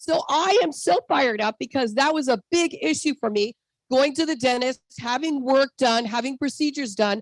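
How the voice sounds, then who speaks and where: A woman speaks in a high pitch with an animated tone. Her pitch varies in an ordinary way, and the sound is dry and close with no echo. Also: moderate pace. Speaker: network marketing distributor. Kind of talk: sales pitch with personal testimony. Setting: video call.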